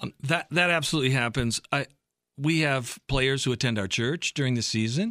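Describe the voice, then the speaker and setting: Recorded very cleanly with a silent background and a dry, close sound with no echo, a man with a Midwestern American accent speaks at medium pitch with ordinary pitch variation. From US Midwest, Michigan and Ohio. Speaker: pastor and team chaplain. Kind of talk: radio interview. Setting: studio.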